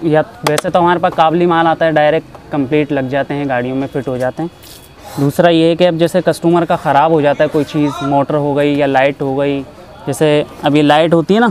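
Delivery comes at a moderate pace with fairly even intonation. The sound is dry with no echo, over light background noise. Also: man. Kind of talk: interview answer. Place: shop. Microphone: lapel.

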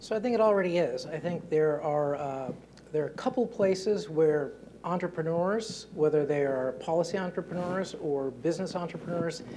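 Over light background noise, a man with a high pitch speaks with ordinary pitch variation. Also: moderate pace. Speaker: panelist. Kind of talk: panel discussion answer. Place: hall. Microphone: lapel.

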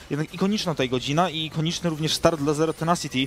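Noticeable background noise sits behind this recording. A man speaks very fast at a fairly high pitch. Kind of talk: esports match commentary, co-caster analysis.

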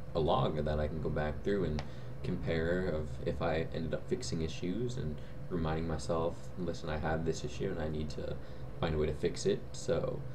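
At a moderate pace, a man with a very deep, low voice speaks with ordinary pitch variation amid noticeable background noise. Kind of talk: casual vlog chat. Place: home room. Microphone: webcam.

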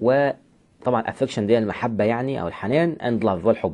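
Here a man speaks at a fairly quick pace. His tone is dark and mellow. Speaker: English teacher. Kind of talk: lecture. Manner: animated.

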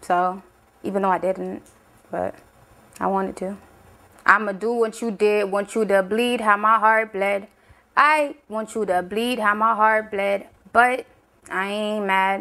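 Against a quiet background, a woman with an American accent speaks fairly slowly at a medium pitch, her tone bright and sharp, her intonation fairly even, with long, frequent pauses. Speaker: rapper and singer. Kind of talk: casual explanation of own song lyrics. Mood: defiant, casual. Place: studio.

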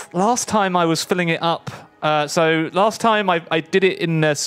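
Faint music plays behind a man speaking with a southern English accent. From southeast England. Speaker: gaming streamer; streamer playing a board game. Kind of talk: casual chat. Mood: relaxed, joking. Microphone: studio mic.

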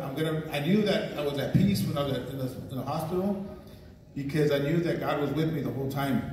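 Fairly quick speech from a man carries audible room echo and light background noise. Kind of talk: church testimony, mixed English and Spanish. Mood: grateful, earnest. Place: church. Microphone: pa.

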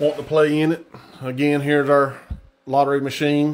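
The speaker is a man. He talks neither fast nor slow, at a moderate pace. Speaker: sports card break host. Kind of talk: casual livestream commentary. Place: home room. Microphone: phone near.

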